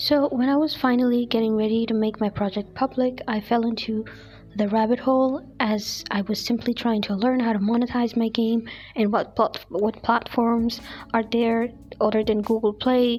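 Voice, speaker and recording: With a non-native accent, a woman speaks at a moderate pace in a fairly high pitch, her loudness very even and her intonation monotone and flat. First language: not English. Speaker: digital artist and video creator. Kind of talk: casual monologue vlog. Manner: unscripted, some hesitations.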